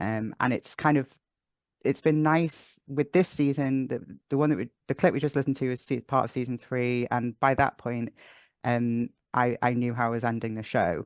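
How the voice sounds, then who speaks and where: In a Welsh accent, a man speaks at medium pitch with ordinary pitch variation. His pace is moderate, and the sound is dry and close, with no echo. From North Wales. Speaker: audio drama writer and sound designer. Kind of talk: interview answer.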